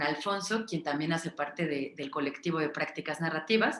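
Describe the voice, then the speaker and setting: This woman's voice sits fairly low, with ordinary pitch variation. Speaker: psychologist and narrative practices facilitator. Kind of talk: online workshop talk. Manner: fast; hesitant, many fillers.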